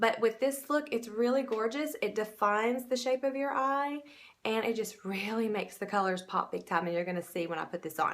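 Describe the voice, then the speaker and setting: At a moderate pace, a woman with a Southern US accent talks at a fairly high pitch with lively intonation. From US South. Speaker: makeup seller and beauty vlogger; makeup seller, beauty vlogger. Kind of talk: makeup tutorial. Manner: casual, chatty. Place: home room. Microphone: phone near.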